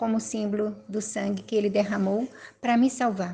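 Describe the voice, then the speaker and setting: Somewhat breathy and dark, mellow in tone, a woman talks at a fairly slow pace with fairly high pitch and fairly even intonation. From Brazil, Minas Gerais. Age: 60s. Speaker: former Jehovah's Witness giving testimony. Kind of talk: personal testimony.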